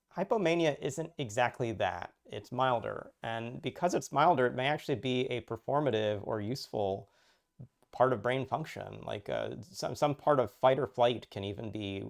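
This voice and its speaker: A man talks with vocal fry and ordinary pitch variation. The background is quiet. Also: medium pitch for a man. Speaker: puzzle creator with a chemistry PhD. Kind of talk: personal talk. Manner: fast; halting with repeated words.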